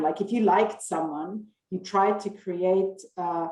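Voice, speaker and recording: With a German accent, a woman talks at a fairly slow pace, her medium pitch carried in fairly even intonation. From western Austria. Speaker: marketing professor. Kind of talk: interview answer.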